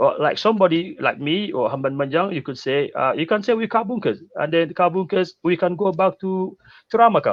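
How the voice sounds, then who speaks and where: A man's high-pitched voice, fairly quick in pace, with lively intonation. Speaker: land rights activist. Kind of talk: interview. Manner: fast.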